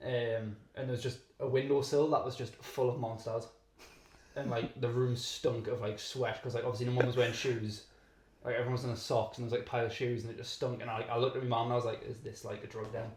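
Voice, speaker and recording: In a British accent, a man talks very fast with flat, monotone intonation. Room echo is audible. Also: medium pitch for a man. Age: 20s. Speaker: pro wrestler. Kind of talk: casual chat. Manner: filler-heavy, lots of 'like'.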